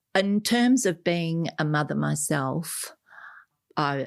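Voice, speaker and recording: A woman with an Australian accent on a very clean recording with a silent background. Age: 70s. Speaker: adoptee and author. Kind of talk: interview.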